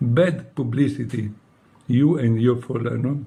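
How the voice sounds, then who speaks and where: With an Italian accent, a man speaks at a fairly slow pace in a somewhat breathy, dark, mellow tone, his medium pitch held in fairly even intonation. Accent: non-native English, Italian. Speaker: former monk. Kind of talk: personal appeal. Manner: emotional.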